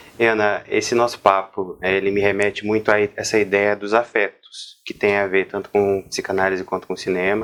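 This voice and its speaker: Over a quiet background, a man with a plain, everyday voice speaks at a moderate pace and fairly low pitch. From Brazil, interior of São Paulo state. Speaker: psychologist, interviewer. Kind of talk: interview conversation.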